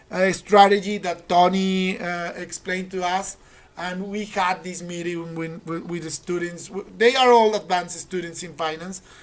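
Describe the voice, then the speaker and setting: A woman's fairly low-pitched voice at a moderate pace, with fairly even intonation, big swings in loudness and noticeable background noise. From Colombia. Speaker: university finance teacher and trader. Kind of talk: casual chat.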